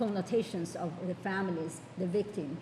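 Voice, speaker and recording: A woman with an American accent, fairly low-pitched and fairly even in intonation, at a moderate pace with audible room echo. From New York. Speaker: judge. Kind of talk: panel talk. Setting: conference panel. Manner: halting.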